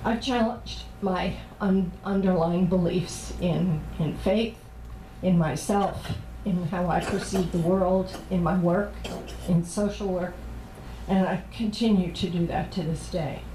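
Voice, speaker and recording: Spoken at a fairly slow pace with fairly even intonation, the clip has noticeable background noise and audible room echo. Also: woman, fairly low pitch for a woman. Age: 60s. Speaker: priest and social worker. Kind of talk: sermon.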